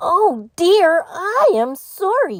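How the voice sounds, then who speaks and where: Squeaky and extremely high in pitch, a woman's put-on character voice makes very wide pitch swings. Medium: read story.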